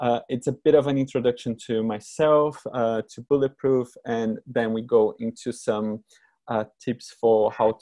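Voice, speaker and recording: Speaking with a Brazilian Portuguese accent, a man with a dark, mellow tone keeps a medium pitch, a fairly slow pace and fairly even intonation in a dry, close sound with no echo. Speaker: creative director. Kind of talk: presentation talk. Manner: hesitant, many fillers.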